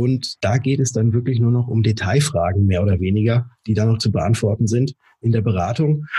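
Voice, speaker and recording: At a moderate pace, a man speaks in a medium pitch with ordinary pitch variation, very even loudness, a somewhat breathy quality and a dark, mellow tone. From Germany, Würzburg (Lower Franconia). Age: 30s. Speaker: insurance broker. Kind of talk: podcast interview. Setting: office, remote call.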